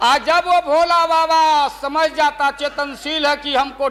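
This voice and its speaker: Over noticeable background noise, a raised, projected voice carries ordinary pitch variation. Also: man. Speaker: politician. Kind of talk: parliament speech. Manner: humorous, storytelling.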